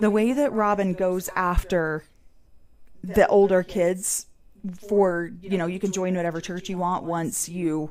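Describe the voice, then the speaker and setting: In an American accent, a woman speaks at a medium pitch and a fairly slow pace. Her pauses are long and frequent. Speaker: podcast host. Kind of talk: casual chat. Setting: livestream. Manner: loud; animated.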